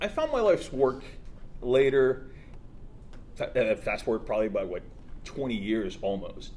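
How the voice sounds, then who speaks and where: A man speaks with an American accent. He leaves long, frequent pauses. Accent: sounds American. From Soviet Ukraine, then US from age 12. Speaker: tech entrepreneur. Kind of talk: speech at launch event. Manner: halting, many fillers.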